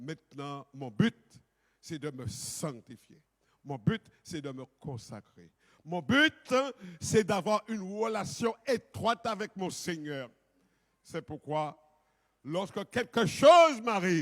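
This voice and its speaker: At a very slow pace with long, frequent pauses, a man speaks at a high pitch with very wide pitch swings and big swings in loudness, the sound dry and close with no echo. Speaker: pastor. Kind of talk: sermon. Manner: authoritative.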